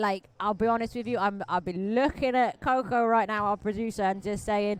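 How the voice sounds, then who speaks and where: Speaking at a moderate pace with a fairly high pitch and an animated tone, a woman with a Welsh accent comes through on a very clean recording with a silent background. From Wales. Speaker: roller derby commentator. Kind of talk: live commentary.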